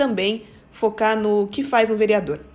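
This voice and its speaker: Her fairly high-pitched woman's voice is an unremarkable speaking voice, moving at a moderate pace. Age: 20s. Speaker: city councillor and lawyer. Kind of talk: explanatory talk.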